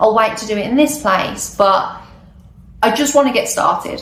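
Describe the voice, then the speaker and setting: Audible room echo carries a woman's fairly high voice, speaking with a British accent at a moderate pace with lively intonation. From UK. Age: 20s. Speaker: travel vlogger. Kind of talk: casual vlog monologue. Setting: recording alone on camera. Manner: hesitant, unscripted.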